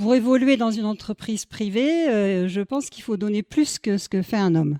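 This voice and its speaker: Against a quiet background, a woman with a fairly high pitch and a dark, mellow tone speaks at a fairly slow pace with lively intonation. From southwest France (Lot-et-Garonne). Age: 60s. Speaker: mayor. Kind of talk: interview testimony. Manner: hesitant, many fillers.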